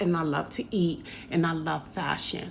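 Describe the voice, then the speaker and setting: Fairly slow pace with vocal fry. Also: woman. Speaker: hairstylist and vlogger. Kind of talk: casual vlog monologue.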